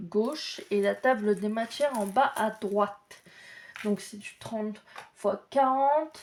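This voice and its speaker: A woman talks at a very slow pace, her loudness swinging widely while her pitch varies in an ordinary way. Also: fairly high pitch for a woman. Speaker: crafts YouTuber. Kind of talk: casual unboxing video.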